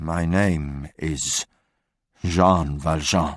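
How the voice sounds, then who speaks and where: A man uses a put-on character voice with a very deep, low pitch and fairly even intonation. The recording is very clean, with a silent background. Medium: read story.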